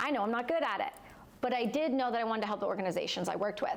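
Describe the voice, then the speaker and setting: Against noticeable background noise, a woman with a Canadian accent speaks high in pitch with lively intonation. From Canada, Ontario. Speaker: war veteran and entrepreneur. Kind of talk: personal testimony in live interview.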